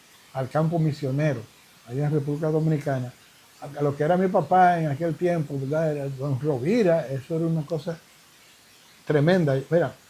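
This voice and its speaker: Fairly high in pitch, a man speaks at a fairly quick pace with long, frequent pauses and fairly even intonation. His tone is dark and mellow, and somewhat breathy. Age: 70s. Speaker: evangelist preacher. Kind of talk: interview. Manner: halting.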